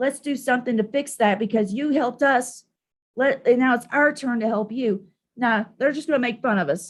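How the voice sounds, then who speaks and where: An animated, high-pitched woman's voice with an American accent at a moderate pace. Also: ordinary pitch variation. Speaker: live streamer, political commentator. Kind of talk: casual live stream rant.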